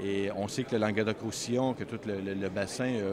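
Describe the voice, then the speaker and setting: Fairly low in pitch, a man with a Canadian French accent keeps his intonation fairly even. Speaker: wine import agency president. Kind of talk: interview answer. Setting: trade fair.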